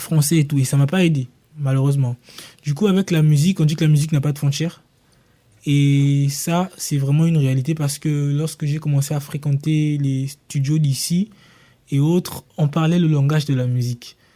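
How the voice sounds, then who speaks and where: With a Congolese accent, a man speaks at a moderate pace in a fairly high, somewhat breathy voice with a dark, mellow tone, fairly even intonation and very even loudness, on a very clean recording with a silent background. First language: Lingala (speaking French). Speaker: singer and rapper. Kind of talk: radio panel discussion.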